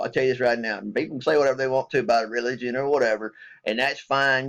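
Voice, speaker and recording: A man talks at a medium pitch. His pace is very fast. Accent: Southern US. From US South. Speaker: military veteran vlogger. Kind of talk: casual vlog rant. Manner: animated.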